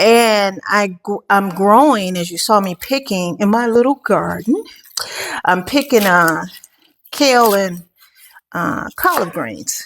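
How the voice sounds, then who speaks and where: A woman's relaxed, medium-pitched voice, very slow, with lively intonation and long, frequent pauses. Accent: American. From United States. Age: 60s. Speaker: lifestyle vlogger, retiree. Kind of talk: casual vlog talk. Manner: relaxed with frequent fillers.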